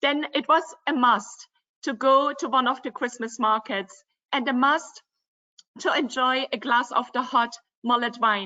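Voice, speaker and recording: A woman with a high pitch, ordinary pitch variation and a fairly slow pace, broken by long, frequent pauses. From Germany, Dresden (former East Germany). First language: German. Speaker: river cruise company representative. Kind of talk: virtual travel presentation.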